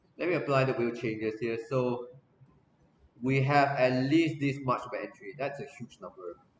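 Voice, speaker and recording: Against noticeable background noise, a man at medium pitch talks at a moderate pace with big swings in loudness. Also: ordinary pitch variation. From Singapore. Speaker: esports streamer hosting a watch party. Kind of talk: live stream commentary and chat.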